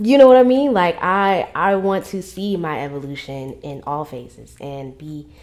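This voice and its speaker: This animated voice moves at a moderate pace with hardly any pauses, showing very wide pitch swings and big shifts in loudness on a very clean recording with a silent background. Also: woman, fairly low pitch for a woman. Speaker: podcast host. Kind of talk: casual monologue vlog.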